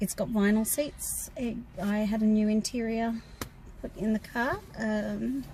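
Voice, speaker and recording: Somewhat breathy, a woman with an Australian accent speaks at a fairly slow pace with fairly even intonation. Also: fairly high pitch for a woman. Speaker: car maintenance teacher and channel co-host. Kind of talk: casual Q&A chat.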